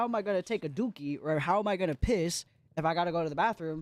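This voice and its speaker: An animated tone comes through at a moderate pace in a very clean recording with a silent background. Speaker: streamer. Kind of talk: casual livestream chat.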